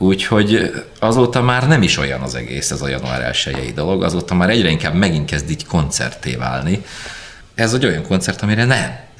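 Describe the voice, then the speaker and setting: This man talks very fast, his pitch swinging very widely, with noticeable background noise around him. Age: 40s. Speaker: rock drummer. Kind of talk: interview storytelling. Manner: loud.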